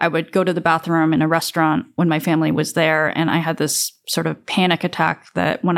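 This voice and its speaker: Fairly low-pitched with vocal fry, a woman speaks monotone and flat at a fairly quick pace with hardly any pauses, in a very clean recording over a silent background. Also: very even loudness. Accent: General American. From upstate New York, US. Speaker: lawyer. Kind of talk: interview testimony.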